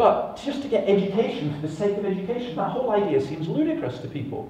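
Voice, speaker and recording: A man speaks with a Scottish accent and very wide pitch swings. Room echo is audible. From Scotland. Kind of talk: conference talk. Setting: stage with audience. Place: stage.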